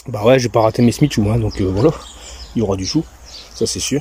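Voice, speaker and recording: In a relaxed tone, a man speaks at a medium pitch with fairly even intonation. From Belgium. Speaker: home vegetable gardener. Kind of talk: casual garden tour to camera. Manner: relaxed, hesitant, chatty.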